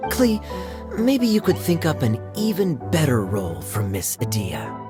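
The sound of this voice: Over clear background music, a woman does a put-on character voice at a low pitch, with very wide pitch swings and a fairly slow pace.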